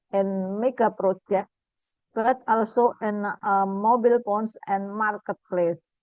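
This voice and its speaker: A woman's medium-pitched voice, very slow, with fairly even intonation. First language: Indonesian. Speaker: academic speaker. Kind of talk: lecture. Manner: halting.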